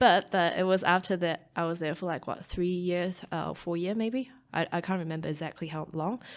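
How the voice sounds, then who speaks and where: A woman with a Taiwanese accent speaks at a fairly quick pace in a fairly low voice with ordinary pitch variation, recorded very cleanly against a silent background. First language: Mandarin Chinese. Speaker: startup chief scientist and PhD researcher. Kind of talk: interview. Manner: halting, many fillers and restarts.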